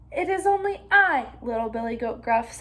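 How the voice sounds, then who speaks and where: High-pitched put-on character voice from a woman, moderate in pace. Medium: read story. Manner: chatty, self-satisfied.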